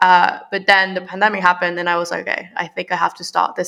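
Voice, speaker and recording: A woman's bright, sharp voice at a medium pitch, delivered at a very fast pace. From Mexico. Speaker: marketing agency founder. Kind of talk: casual interview.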